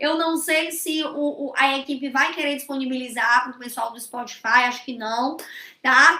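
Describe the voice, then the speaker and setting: A raised, projected voice with a bright, sharp tone and ordinary pitch variation comes at a fairly slow pace. Room echo is audible. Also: woman. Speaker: social security law teacher. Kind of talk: online lecture. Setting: live stream.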